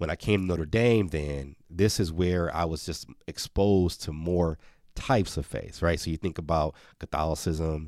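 In an American accent, a man speaks at a very deep, low pitch with ordinary pitch variation. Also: moderate pace, very clean recording, silent background. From Milwaukee, US Midwest. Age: 40s. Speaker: former university mascot and children's author. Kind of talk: interview. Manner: halting with frequent repeats.

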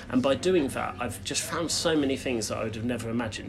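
Someone talks at a very fast pace with ordinary pitch variation, over noticeable background noise and audible room echo. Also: man. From southern England, Brighton. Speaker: personal branding consultant. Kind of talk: casual chat.

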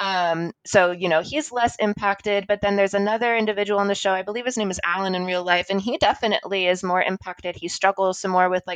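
A woman speaks at a fairly quick pace with a medium pitch. The sound is dry and close with no echo, and there is noticeable background noise. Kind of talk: casual interview chat.

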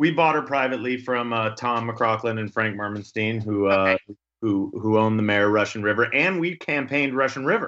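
A man's plain, everyday voice at a medium pitch, with ordinary pitch variation, a fairly quick pace and hardly any pauses, over a quiet background. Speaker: podcast host. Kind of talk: casual chat. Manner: chatty, friendly, joking.

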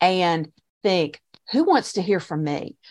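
She uses an ordinary speaking voice pitched in the medium range. This woman's intonation stays lively throughout. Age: 50s. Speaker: online course creator, former shop owner. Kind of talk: interview.

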